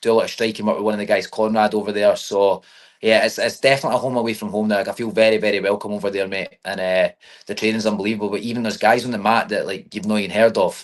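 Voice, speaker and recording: Against a quiet background, a man with an American accent talks very fast in a fairly low voice, his intonation monotone and flat. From Scotland. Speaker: MMA fighter. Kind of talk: interview. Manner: casual, lots of filler phrases.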